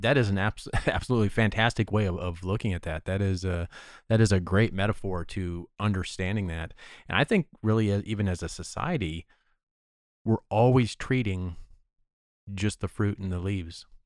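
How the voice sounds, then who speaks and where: Fairly low in pitch, a man speaks in a normal speaking voice at a moderate pace. The recording is very clean, with a silent background. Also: fairly even intonation. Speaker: podcast host. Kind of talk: interview.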